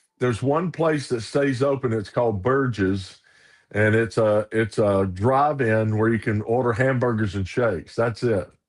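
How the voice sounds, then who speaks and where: In a Southern US accent, a man speaks at a moderate pace and medium pitch with ordinary pitch variation and very even loudness against a quiet background. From US South, Arkansas and Ruston, Louisiana. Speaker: minister. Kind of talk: casual chat.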